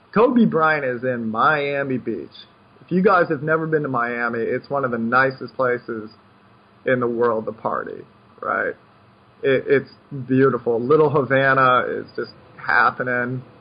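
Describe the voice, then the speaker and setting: A man's voice at medium pitch, fairly slow, with ordinary pitch variation and long, frequent pauses. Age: 20s. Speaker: poker coach. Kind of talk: casual chat.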